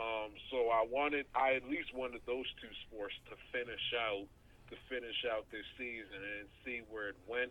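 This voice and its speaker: Using an unremarkable speaking voice, a man with an American accent talks at a medium pitch and a fairly slow pace, with fairly even intonation. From Baltimore area, Maryland. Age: young. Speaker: aspiring sports broadcaster and podcaster. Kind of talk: casual interview.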